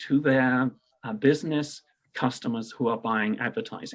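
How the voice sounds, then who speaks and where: In a very clean recording with a silent background, a man speaks fairly slowly at a medium pitch. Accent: British. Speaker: payments industry entrepreneur. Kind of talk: radio interview.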